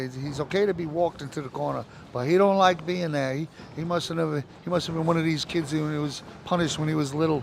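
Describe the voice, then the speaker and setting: Over noticeable background noise, a man speaks fairly quickly at a fairly high pitch. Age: 60s. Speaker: fight commentator. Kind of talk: live commentary. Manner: animated.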